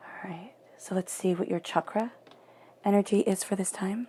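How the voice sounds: A woman speaks with fairly even intonation, a slightly husky edge and a dark, mellow tone. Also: medium pitch for a woman, moderate pace.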